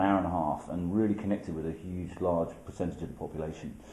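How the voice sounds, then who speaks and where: In a British accent, a man talks at a very fast pace with a very deep, low pitch, a dark, mellow tone and monotone, flat intonation, with audible room echo around him. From UK. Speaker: documentary filmmaker. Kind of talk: interview. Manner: hesitant, many fillers.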